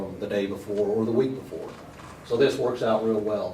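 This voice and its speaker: With noticeable background noise and audible room echo, a man talks at a medium pitch. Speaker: seminar presenter, shop owner. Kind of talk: seminar talk. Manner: fast.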